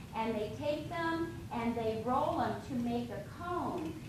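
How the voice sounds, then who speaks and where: Pitched high, a woman speaks at a very slow pace with very wide pitch swings. Audible room echo and noticeable background noise fill the recording. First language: Lakota Dakota. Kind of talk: cultural presentation to an audience. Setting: lunch event room with audience, no microphone.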